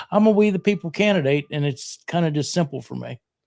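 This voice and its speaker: On a very clean recording with a silent background and a dry, close sound with no echo, a man with a western Pennsylvania accent speaks at a fairly high pitch with ordinary pitch variation. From southwestern Pennsylvania, Fayette County. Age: 60s. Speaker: radio host and county commissioner candidate. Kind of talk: casual interview.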